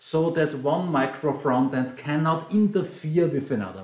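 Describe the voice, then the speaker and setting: In an Austrian accent, a man speaks at a fairly high pitch and a fairly slow pace. His intonation is lively, and audible room echo surrounds him. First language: German. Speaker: software trainer and consultant. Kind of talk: conference talk.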